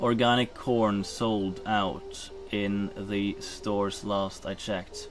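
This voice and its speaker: Very slowly, a man with a Norwegian accent speaks amid noticeable background noise and audible room echo. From Norway. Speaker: streamer. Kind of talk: casual live-stream chat. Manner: halting.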